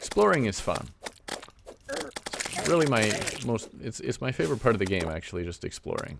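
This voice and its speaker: A man with a Canadian accent and a fairly low pitch speaks at a moderate pace. His pitch swings very widely over noticeable background noise. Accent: Canadian, noticeable on some words like lava. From Canada. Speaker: gaming video creator. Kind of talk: let's play commentary. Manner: casual, conversational.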